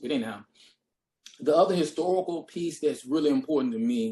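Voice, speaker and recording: A man speaks with a Deep South US accent. His pitch swings very widely. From US Deep South. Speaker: history professor. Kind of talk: panel discussion. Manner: hesitant, many fillers.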